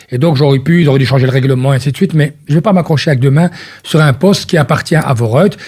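Somewhat breathy man's voice, fairly high in pitch with a dark, mellow tone, ordinary pitch variation and a very fast pace. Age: 50s. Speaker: politician. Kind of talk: radio interview.

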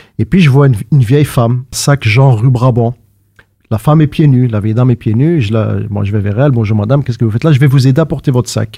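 The voice is somewhat breathy, with a dark, mellow tone. Its pitch moves in an ordinary way. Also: man. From Brussels, Belgium. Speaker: playwright and stage actor. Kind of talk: casual chat.

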